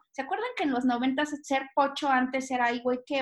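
A woman talks in a high voice with fairly even intonation. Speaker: podcast co-host. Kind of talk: casual chat.

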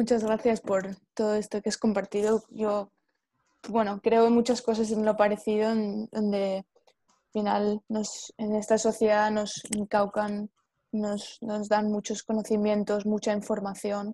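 A woman in a Spanish accent, fairly slow and monotone, flat in intonation, with big swings in loudness, on a very clean recording with a silent background and a dry, close sound with no echo. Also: fairly high pitch for a woman. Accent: Peninsular Spanish. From Spain. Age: 20s. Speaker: podcast co-host. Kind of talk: casual chat.

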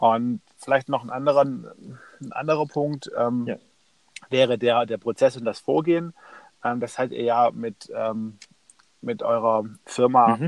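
Speaking fairly slowly at a medium pitch, a man uses ordinary pitch variation and pauses long and often. The sound is dry and close, with no echo. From Stuttgart, Germany. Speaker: entrepreneur and author. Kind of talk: interview. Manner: hesitant with many fillers.

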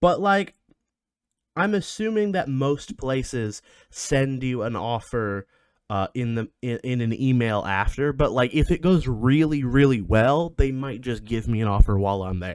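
Over a silent background in a very clean recording, a man of medium pitch speaks in an animated tone at a fairly slow pace. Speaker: podcast host. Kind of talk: casual chat.

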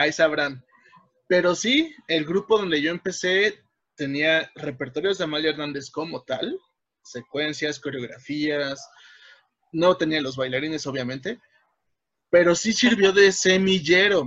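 Long, frequent pauses break up a man's fairly slow speech. His pitch is fairly high, with ordinary variation. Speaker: podcast co-host, folk dancer. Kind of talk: casual chat. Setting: home.

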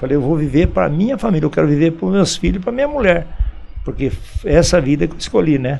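With noticeable background noise behind him, a man speaks very fast at a fairly high pitch with lively intonation. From Brazil, São Paulo state (Campinas/Indaiatuba). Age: 70s. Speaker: local shopkeeper and former athlete. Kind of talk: radio interview. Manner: halting, frequent repetitions.

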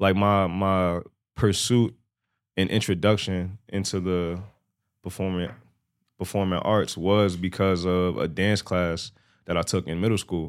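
With a very deep, low pitch and monotone, flat intonation, a man speaks at a fairly slow pace with long, frequent pauses, on a very clean recording with a silent background. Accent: Bronx. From New York, the Bronx. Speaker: rapper. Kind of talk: casual chat.

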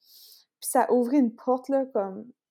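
A woman with a high pitch and a dark, mellow tone speaks at a moderate pace. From Acadia, northern New Brunswick (Canada). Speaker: intuitive coach and Reiki practitioner. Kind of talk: casual interview.

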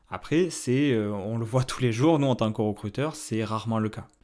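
With a dark, mellow tone, a man talks at a fairly slow pace and ordinary pitch variation in a very clean recording with a silent background. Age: 30s. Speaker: independent recruiter, podcast host. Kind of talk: solo podcast advice talk. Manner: hesitant, many fillers.

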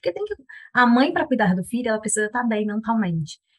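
This voice is somewhat breathy and moves at a fairly quick pace. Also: woman. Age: 30s. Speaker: product manager, mother. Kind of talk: casual chat.

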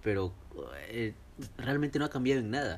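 A man speaks with ordinary pitch variation. Behind him, music is playing. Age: 20s. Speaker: podcast host. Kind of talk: casual chat.

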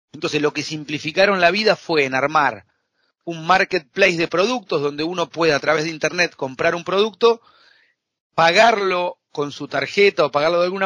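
The dry, close sound with no echo carries a man's high, bright, sharp voice at a fairly quick pace with ordinary pitch variation. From Argentina. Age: 40s. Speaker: accountant and fintech consultant. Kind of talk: interview.

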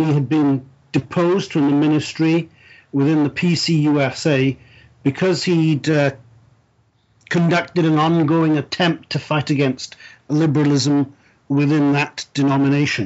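The speaker talks at a fairly slow pace, with long, frequent pauses. The accent is Welsh. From South Wales. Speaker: church minister and presbyter. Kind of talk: interview. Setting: remote call from his study. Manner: formal, measured, with fillers.

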